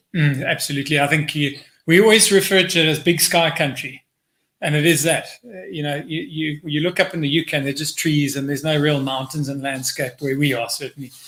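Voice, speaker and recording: A man with a fairly high pitch and a strong South African accent is heard on a very clean recording with a silent background. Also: fairly even intonation, fairly quick pace. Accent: South African, still strong. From South Africa, Port Elizabeth. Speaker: hotel group director. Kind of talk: casual interview.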